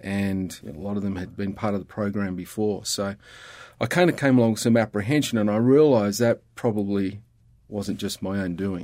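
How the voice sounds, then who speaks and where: A man with an Australian accent, fairly low in pitch with ordinary pitch variation, at a moderate pace on a very clean recording with a silent background. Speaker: CPA and ministry leader. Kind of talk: casual interview conversation. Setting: studio.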